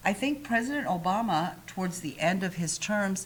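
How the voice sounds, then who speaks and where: A somewhat breathy woman with an American accent, at a medium pitch and a moderate pace. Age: 50s. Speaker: talk show host. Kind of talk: casual chat.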